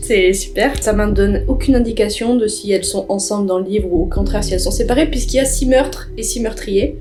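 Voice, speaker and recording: The speech runs at a fairly quick pace with hardly any pauses and very wide pitch swings. Noticeable background noise sits behind it. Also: woman. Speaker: YouTuber. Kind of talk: vlog narration.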